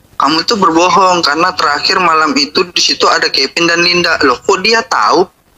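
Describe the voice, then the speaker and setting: Over noticeable background noise, a man with a high-pitched voice talks at a fairly quick pace, with hardly any pauses and very even loudness. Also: ordinary pitch variation. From West Kalimantan, Indonesia. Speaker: interviewee in a viral case. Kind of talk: interview.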